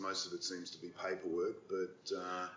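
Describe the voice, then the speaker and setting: A man with an Australian accent speaks at a moderate pace. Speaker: podcast host. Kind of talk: interview.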